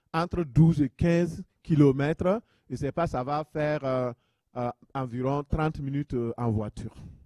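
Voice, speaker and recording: With a dry, close sound and no echo, a man speaks at a fairly slow pace. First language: a local African language, French learned at school (speaking French). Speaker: pastor. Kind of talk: sermon.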